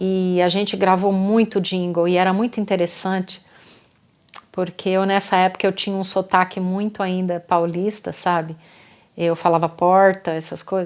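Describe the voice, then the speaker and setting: A woman's voice sits at a medium pitch. She speaks in a monotone, flat intonation. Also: moderate pace. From interior of São Paulo state, Brazil. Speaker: singer and songwriter. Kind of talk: casual storytelling monologue. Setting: self-recorded at night. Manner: halting, with many false starts.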